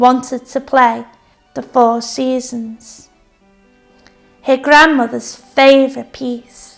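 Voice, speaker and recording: With music in the background, a woman speaks very slowly in a high pitch, leaving long, frequent pauses. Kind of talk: story reading.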